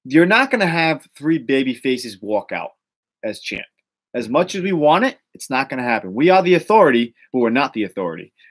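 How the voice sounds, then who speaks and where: A man with a Boston accent speaks fairly quickly at a fairly high pitch. His pitch swings very widely and his loudness rises and falls sharply. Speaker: wrestling rumor show host. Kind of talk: casual podcast chat. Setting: live stream. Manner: animated.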